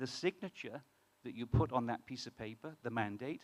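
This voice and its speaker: A man with a British accent delivers his words fairly quickly. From UK. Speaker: startup co-founder. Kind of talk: conference talk. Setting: stage with audience. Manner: halting, many fillers.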